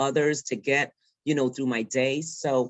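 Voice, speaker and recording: Someone with a New York accent speaks at a fairly slow pace. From New York, the Bronx. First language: Spanish. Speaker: field director. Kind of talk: panel discussion. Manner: halting, many fillers.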